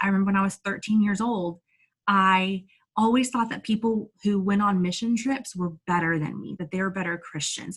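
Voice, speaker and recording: Energetic and animated, a woman of medium pitch speaks at a moderate pace in a somewhat breathy voice with ordinary pitch variation. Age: 30s. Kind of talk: inspirational talk to online audience. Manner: energetic, animated; stumbling over words at times.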